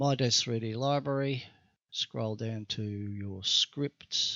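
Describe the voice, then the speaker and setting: A man's mumbling at a medium pitch with fairly even intonation. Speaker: 3D graphics tutorial maker. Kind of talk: software tutorial. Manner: halting.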